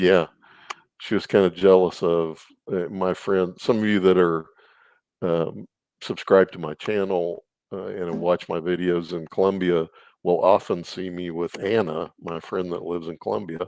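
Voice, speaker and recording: A man with a Texan accent speaks at a moderate pace in a very deep, low pitch, his intonation fairly even, on a very clean recording with a silent background and a dry, close sound with no echo. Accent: Texan American. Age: 60s. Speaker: YouTuber guest. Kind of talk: casual interview about relationships.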